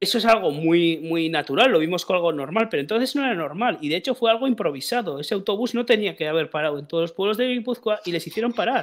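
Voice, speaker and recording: Over a quiet background, a man talks very fast at a high pitch with lively intonation and hardly any pauses. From Basque Country. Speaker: football podcast host. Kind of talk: casual chat. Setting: live stream. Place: home room. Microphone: headset.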